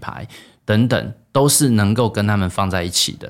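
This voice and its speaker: This man speaks with a Taiwanese accent and a fairly low pitch. The recording is very clean, with a silent background. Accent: Taiwanese Mandarin. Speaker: startup founder and CEO. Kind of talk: interview.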